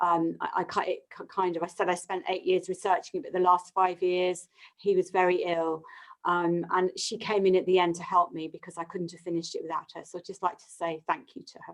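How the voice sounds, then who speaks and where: A woman with a British accent at a fairly quick pace, medium in pitch, monotone and flat in intonation, with big swings in loudness. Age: 60s. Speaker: yoga therapist and author. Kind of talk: live webinar closing remarks.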